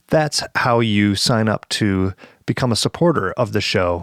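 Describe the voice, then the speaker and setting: Recorded very cleanly against a silent background, with a dry, close sound and no echo, a man with a Midwestern accent talks at a fairly low pitch and a fairly slow pace. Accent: nasal Midwestern. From Michigan, Lower Peninsula. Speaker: podcast host, banjo player. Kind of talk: casual podcast intro and sponsor read. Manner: halting, with frequent fillers and restarts.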